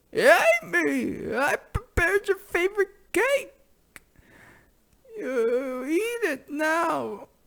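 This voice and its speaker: Putting on a character voice, a man speaks at an extremely high pitch, very slowly, with long, frequent pauses. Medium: solo performance. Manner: blunt, comically exaggerated.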